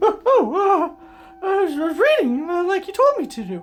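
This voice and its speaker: A put-on character voice sits at an extremely high pitch. Its pace is moderate. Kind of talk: comedy sketch. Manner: hesitant, halting.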